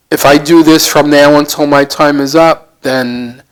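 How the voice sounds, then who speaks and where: With an American accent, a man speaks very slowly and with fairly even intonation. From United States. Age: 70s. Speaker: volunteer charity worker, former hockey coach. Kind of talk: interview. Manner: halting, with fillers.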